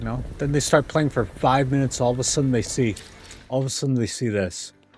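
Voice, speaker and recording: In a Canadian accent, a man talks very fast at a medium pitch with ordinary pitch variation. He sounds animated and somewhat breathy. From Canada. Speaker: gaming streamer. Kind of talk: casual livestream commentary. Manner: animated, ranting.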